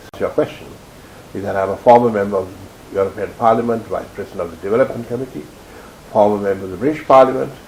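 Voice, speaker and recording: There is noticeable background noise as a man talks at a very fast pace. His pitch is fairly low, with ordinary variation. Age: 70s. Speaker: former politician. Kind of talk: interview.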